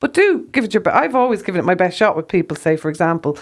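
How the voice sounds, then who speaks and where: A woman with an Irish accent at a fairly quick pace, in a very clean recording with a silent background. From Ireland. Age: 60s. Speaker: herbalist, former rock photographer. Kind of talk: faith testimony conversation.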